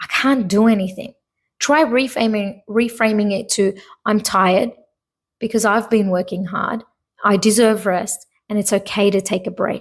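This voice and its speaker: A woman's voice, fairly high-pitched and somewhat breathy, comes at a moderate pace. Her intonation stays fairly even. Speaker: podcast host and hypnotherapist. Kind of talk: solo podcast monologue. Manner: halting, stumbling over words.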